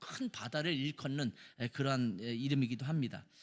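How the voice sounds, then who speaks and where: This man keeps to a moderate pace. There is ordinary variation in his pitch. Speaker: pastor. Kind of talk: sermon.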